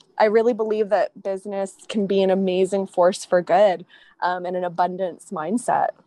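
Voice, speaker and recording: The delivery is monotone and flat, at a moderate pace, with a dry, close sound and no echo. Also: woman, medium pitch for a woman. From Hawaii. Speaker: beverage company co-founder. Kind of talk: interview. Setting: remote call.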